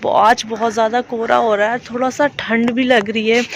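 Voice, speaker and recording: The speech has a monotone, flat intonation, with noticeable background noise behind it. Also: woman. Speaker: vlogger. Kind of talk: casual vlog talk to camera. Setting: outdoors on rooftop.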